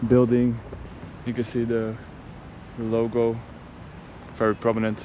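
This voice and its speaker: A man with a Dutch accent, medium pitch and monotone, flat intonation, at a moderate pace with long, frequent pauses, over noticeable background noise. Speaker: travel vlogger. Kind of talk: travel vlog narration. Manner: casual.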